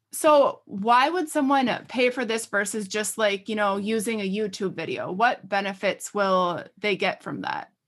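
Barely pausing, a woman speaks in a plain, everyday voice at a fairly high pitch with ordinary pitch variation. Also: fairly slow pace, very clean recording, silent background. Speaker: podcast host. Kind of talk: casual chat.

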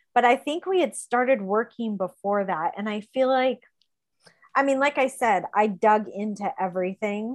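This is an unremarkable speaking voice with lively intonation. The pace is moderate. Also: woman, fairly high pitch for a woman. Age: 40s. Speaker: teaching assistant sharing her recovery story. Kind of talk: personal testimony in an interview. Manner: frequent filler words (um, like).

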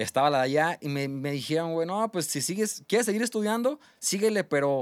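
In a very clean recording with a silent background and a dry, close sound with no echo, a man with an ordinary speaking voice talks at a moderate pace with lively intonation. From Mexico. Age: 20s. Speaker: restaurant owner and chef. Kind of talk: casual chat.

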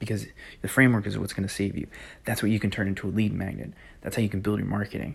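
A man with a fairly low pitch and vocal fry talks very fast. His intonation stays fairly even. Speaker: podcast host on network marketing. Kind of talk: solo podcast monologue. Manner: quieter than usual; intimate, low-key.

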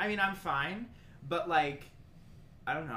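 Noticeable background noise fills the recording. Over it, a man talks very fast. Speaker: podcast host. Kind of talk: casual chat.

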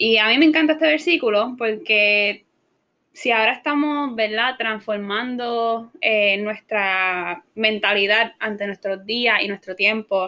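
In a very clean recording with a silent background, a woman talks at a fairly slow pace. Her tone is bright and sharp, her pitch fairly high with ordinary variation. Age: 20s. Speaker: university student. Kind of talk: bible study discussion.

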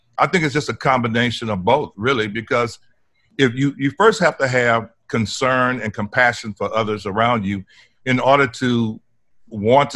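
Over a silent background in a very clean recording, a man with an American accent speaks at a moderate pace in a medium pitch with a bright, sharp tone. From Port Arthur, Texas (Gulf Coast). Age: 60s. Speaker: environmental justice activist. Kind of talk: interview.

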